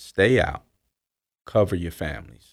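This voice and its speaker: Speaking fairly slowly, a man has an American accent. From US South. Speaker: author and former drug dealer. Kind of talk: interview testimony.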